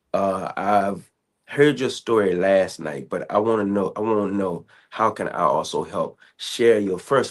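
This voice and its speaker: A man with an unremarkable speaking voice talks at a fairly low pitch and a fairly slow pace, with ordinary pitch variation, over a quiet background. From Southern Virginia. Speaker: podcast host. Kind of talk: interview.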